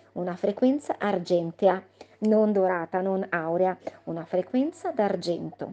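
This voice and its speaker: With a dark, mellow tone, a woman speaks at medium pitch and a fairly slow pace, her pitch varying in an ordinary way. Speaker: spiritual channel host. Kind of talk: spiritual monologue.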